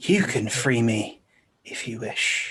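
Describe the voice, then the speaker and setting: A raspy, put-on character voice from a man at medium pitch. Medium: actual play. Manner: calm, unhurried, self-satisfied.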